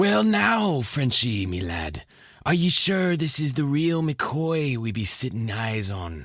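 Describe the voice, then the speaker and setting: In a put-on character voice, a man speaks at a medium pitch and a fairly slow pace with very wide pitch swings, on a very clean recording with a silent background. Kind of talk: comic pirate talk. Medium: audio drama.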